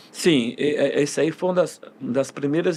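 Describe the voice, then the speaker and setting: A man is speaking. His intonation is fairly even. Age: 60s. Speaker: football coach. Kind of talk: interview. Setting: podcast studio. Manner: halting, many fillers and restarts.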